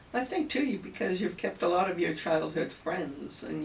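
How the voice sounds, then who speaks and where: A woman speaks with a Canadian accent. Background noise is noticeable. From Italian-born, raised in Canada. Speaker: interviewer. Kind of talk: interview.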